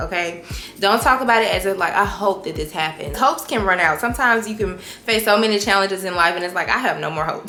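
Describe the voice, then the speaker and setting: Over background music, a woman talks at a medium pitch and a very fast pace. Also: ordinary pitch variation. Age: 20s. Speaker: lifestyle YouTuber. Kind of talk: casual talk to camera.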